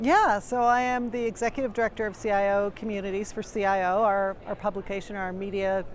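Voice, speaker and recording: The speaker uses a normal speaking voice at a fairly quick pace with fairly even intonation. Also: woman. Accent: Canadian. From Canada. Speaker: executive director and podcast host. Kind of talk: interview. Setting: media booth at a conference.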